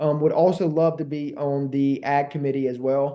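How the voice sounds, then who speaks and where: A man speaks with a Southern US accent. His pitch sits fairly high. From Alabama, Montgomery. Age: 20s. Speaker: congressional candidate. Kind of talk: interview. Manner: fast; energetic.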